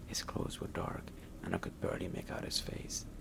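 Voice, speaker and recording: Whispering over noticeable background noise. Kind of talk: horror story narration. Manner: soft-spoken.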